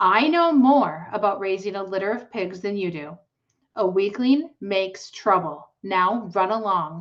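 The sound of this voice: The background stays quiet while an unforced reading voice carries the text.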